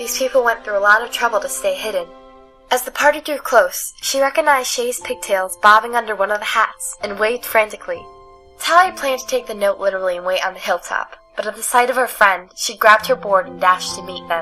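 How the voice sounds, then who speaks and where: Music plays behind a woman speaking at a very fast pace in a fairly high pitch. Her intonation is lively, and her loudness swings widely. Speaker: audiobook narrator. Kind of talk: audiobook reading. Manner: uneven delivery.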